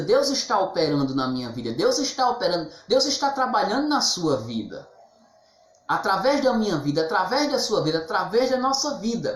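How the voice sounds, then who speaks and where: Moderate pace amid noticeable background noise. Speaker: missionary preacher. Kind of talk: sermon. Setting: online live stream.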